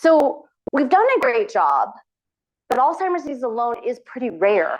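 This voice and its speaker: A woman's high voice with very wide pitch swings. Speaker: physician researcher. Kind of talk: lecture. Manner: fast.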